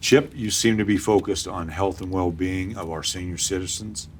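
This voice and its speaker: Somewhat breathy, a man speaks at a moderate pace with a very deep, low pitch. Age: 60s. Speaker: interviewer. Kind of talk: candidate interview.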